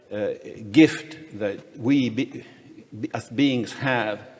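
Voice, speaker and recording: Amid noticeable background noise and audible room echo, a man speaks at a medium pitch and a very slow pace. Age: 60s. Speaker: economist and freedom advocate, panel speaker. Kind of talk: conference panel talk. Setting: conference panel with audience. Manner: halting, many fillers and restarts.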